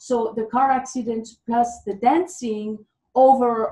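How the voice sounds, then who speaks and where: Speaking with a Swiss French accent, a woman has a fairly high-pitched voice with a dark, mellow tone. Her pitch varies in an ordinary way. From French-speaking Switzerland. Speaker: former dancer, fitness coach. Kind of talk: interview.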